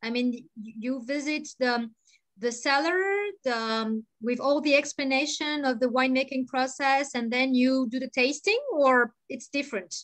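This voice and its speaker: Her pitch high, a woman keeps her intonation fairly even at a moderate pace. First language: French. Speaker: Bordeaux wine tour guide. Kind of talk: casual chat. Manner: halting.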